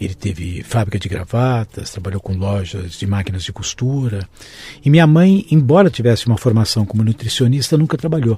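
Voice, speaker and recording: In a São Paulo accent, a man speaks at a fairly quick pace with lively intonation. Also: medium pitch for a man. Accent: Brazilian Portuguese, São Paulo (paulistano). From São Paulo, Brazil. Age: 60s. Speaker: physician and healthcare executive. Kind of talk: interview conversation.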